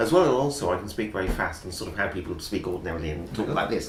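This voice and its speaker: Amid audible room echo and noticeable background noise, a man speaks at a fairly low pitch with very wide pitch swings. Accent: English. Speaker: English teacher. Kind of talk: interview. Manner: clear.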